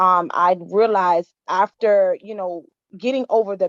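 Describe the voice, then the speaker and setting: In an American accent, a woman speaks at a fairly slow pace in an ordinary speaking voice, medium in pitch, with fairly even intonation and a dry, close sound with no echo. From Miami, Florida. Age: 30s. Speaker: women's empowerment founder. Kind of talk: testimony.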